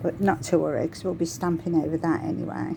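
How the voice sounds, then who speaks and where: A woman with a fairly low pitch speaks at a fairly quick pace amid noticeable background noise. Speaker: crafting tutorial creator. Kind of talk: tutorial. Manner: casual, chatty.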